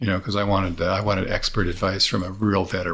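Over a silent background in a very clean recording, a man speaks at a fairly quick pace. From US West Coast (California Bay Area). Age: 60s. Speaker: chef and food producer. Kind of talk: interview. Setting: at his home. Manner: halting, repeats words.

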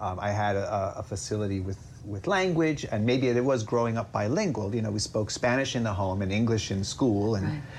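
Someone with an American accent talks at a fairly quick pace with hardly any pauses and ordinary pitch variation over noticeable background noise. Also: man, fairly low pitch for a man. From upstate New York. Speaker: comedy writer. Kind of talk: casual interview chat.

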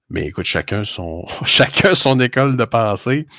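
This is a man speaking with a Quebec accent. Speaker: sports card podcast co-host. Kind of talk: casual chat.

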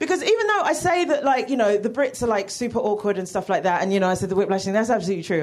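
This woman talks very fast, her pitch swinging very widely, with noticeable background noise behind her. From United Kingdom. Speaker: comedian. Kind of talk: stand-up. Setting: stage with audience.

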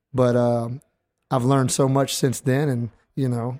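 This is a very clean recording with a silent background. The speaker is a man. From US South, Louisiana (New Iberia). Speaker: orthodontist. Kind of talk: casual chat. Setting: live event. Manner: animated.

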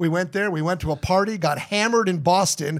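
Speaking at a moderate pace in an American accent with ordinary pitch variation, the voice comes through a very clean recording with a silent background. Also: man. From New Jersey. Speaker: radio station owner. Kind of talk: casual chat.

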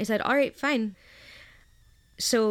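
A woman with a plain, everyday voice speaks with an American accent at a fairly high pitch. Her pitch variation is ordinary, and the recording is very clean with a silent background. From US South, Memphis, Tennessee. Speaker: blogger, medical student. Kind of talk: interview.

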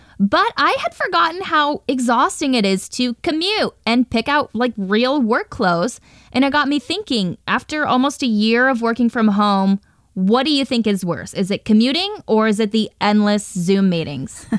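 A woman speaks at a moderate pace with a fairly high pitch, very wide pitch swings and very even loudness. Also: dry, close sound with no echo. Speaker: radio host. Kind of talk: radio news interview.

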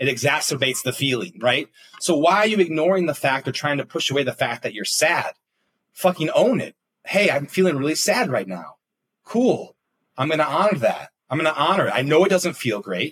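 A man in a normal speaking voice, fairly high-pitched, with lively intonation and a fairly quick pace. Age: 30s. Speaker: executive coach. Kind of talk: casual chat.

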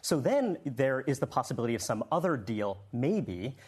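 A somewhat breathy man's voice at medium pitch, with lively intonation. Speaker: political analyst. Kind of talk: panel discussion. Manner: measured, analytical.

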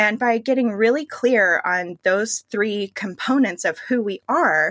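A woman with an American accent has an unremarkable speaking voice, fairly high in pitch, with lively intonation at a fairly slow pace. The sound is dry and close, with no echo. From Pittsburgh, US. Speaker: personal stylist. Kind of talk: interview conversation.

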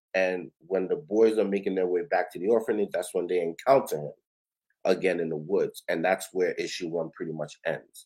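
Speaking at a moderate pace, a man talks with a New York accent. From Brooklyn, New York. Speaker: comic book creator. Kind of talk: casual interview.

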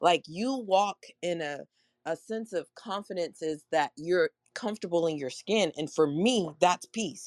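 A woman with a normal speaking voice, pitched fairly low with ordinary pitch variation, speaks at a fairly slow pace in a dry, close sound with no echo. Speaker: audience member. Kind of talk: casual chat. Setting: live audio room online.

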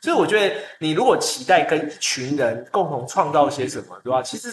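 A man speaks at a fairly quick pace. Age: middle-aged. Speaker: community college staff member. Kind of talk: casual chat.

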